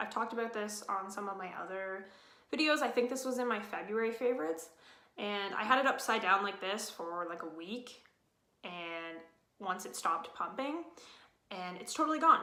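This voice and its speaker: Audible room echo surrounds a woman whose fairly high voice has ordinary pitch variation. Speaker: beauty vlogger. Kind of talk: casual product review. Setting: at home. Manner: fast.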